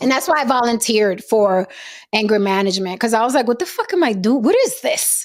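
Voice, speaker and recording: In a very clean recording with a silent background, a woman with a fairly high pitch speaks fairly quickly, with lively intonation and very even loudness. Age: 40s. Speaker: podcast host. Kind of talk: casual chat. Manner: animated.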